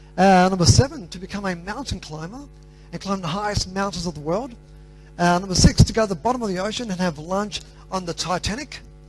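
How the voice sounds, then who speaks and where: A man with an Australian accent at a very fast pace, high in pitch, with ordinary pitch variation, big swings in loudness and noticeable background noise. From Australia, Greek parents. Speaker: motivational speaker. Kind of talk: motivational talk.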